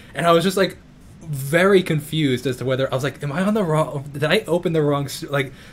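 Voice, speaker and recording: A man with a Long Island accent talks at a very fast pace in a fairly high pitch, his voice somewhat breathy and his pitch varying in an ordinary way. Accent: New York (Long Island). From New York. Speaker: YouTuber and musician. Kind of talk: casual interview chat. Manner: halting.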